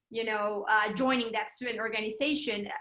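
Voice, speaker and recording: Her voice fairly high, bright and sharp, a woman with a Spanish accent speaks at a moderate pace with fairly even intonation. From Mexico. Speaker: PR account executive. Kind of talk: interview. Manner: hesitant, many fillers.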